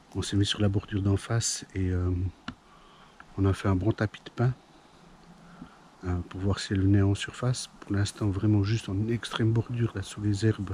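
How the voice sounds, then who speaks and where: A man speaks in a dark, mellow, somewhat breathy voice at a fairly low pitch and moderate pace. His intonation is monotone and flat, broken by long, frequent pauses. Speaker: fishing youtuber. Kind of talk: outdoor vlog commentary. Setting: outdoors by a pond. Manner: hesitant, many fillers.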